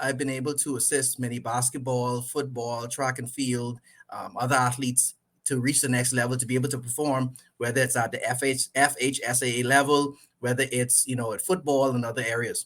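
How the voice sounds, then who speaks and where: In a Caribbean accent, a man talks at a medium pitch and a fairly quick pace. His tone is bright and sharp. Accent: Caribbean accent, stronger than before. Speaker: sports coach and trainer. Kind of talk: podcast interview.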